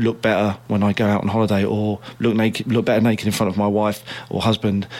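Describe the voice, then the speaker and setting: Over noticeable background noise, a man with a fairly low pitch speaks fairly quickly in a flat monotone. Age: 30s. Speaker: personal trainer. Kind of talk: casual chat.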